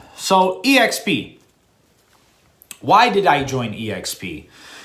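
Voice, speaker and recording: A man with a high voice speaks in an animated way, his pitch swinging very widely and his loudness rising and falling sharply. Long pauses come often, and the room echo is audible. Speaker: real estate agent. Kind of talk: monologue to camera.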